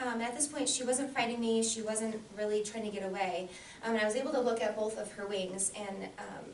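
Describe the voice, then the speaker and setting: A woman talks at a fairly quick pace in a fairly high pitch. Her intonation is fairly even, and audible room echo is present. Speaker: Toastmasters club member. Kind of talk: prepared speech. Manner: fast.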